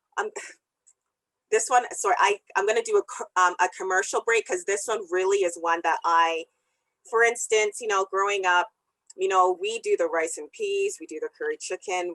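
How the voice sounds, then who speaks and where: A woman with a Canadian accent, captured in a dry, close sound with no echo. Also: moderate pace. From Canada, Calgary (Jamaican parents). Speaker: second-generation immigrant guest. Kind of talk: interview conversation.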